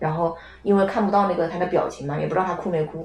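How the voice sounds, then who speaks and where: Amid noticeable background noise and audible room echo, a woman speaks very fast at a fairly low pitch with fairly even intonation. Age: 20s. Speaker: podcast guest. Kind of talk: casual chat.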